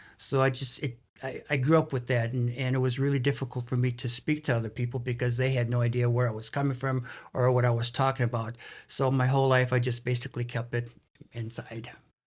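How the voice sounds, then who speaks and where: Talking at a very fast pace, a man with a medium pitch sounds somewhat breathy. His intonation is monotone and flat, and the recording is very clean with a silent background. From US Midwest, Saint Paul, Minnesota. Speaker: realtor and author. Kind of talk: interview. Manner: halting.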